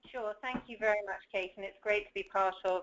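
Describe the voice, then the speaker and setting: A woman with a British accent, her pitch medium, her intonation fairly even, her pace fairly quick. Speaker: education association president. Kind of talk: panel discussion.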